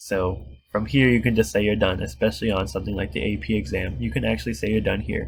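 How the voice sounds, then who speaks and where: Using a fairly quick pace, a man with a fairly low pitch and vocal fry swings his pitch very widely. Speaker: math tutor. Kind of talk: tutorial.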